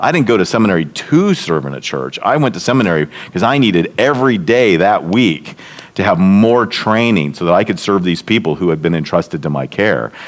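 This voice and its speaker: With noticeable background noise behind him, a man speaks at a fairly quick pace, his fairly low pitch making very wide swings. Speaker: seminary leader and leadership speaker. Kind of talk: workshop lecture. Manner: fast.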